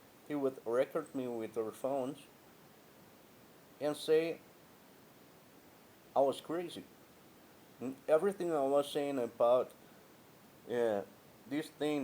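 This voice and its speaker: A man talks at a fairly slow pace with long, frequent pauses and a Spanish accent. His medium-pitched voice has a dark, mellow tone and ordinary pitch variation. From Guatemala. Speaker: vlogger, former customer care agent. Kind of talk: personal monologue vlog. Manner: halting.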